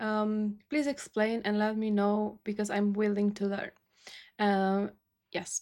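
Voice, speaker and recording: A woman with a Romanian accent speaks at a fairly slow pace. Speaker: YouTube music reactor. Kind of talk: casual vlog talk to camera. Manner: halting, many fillers.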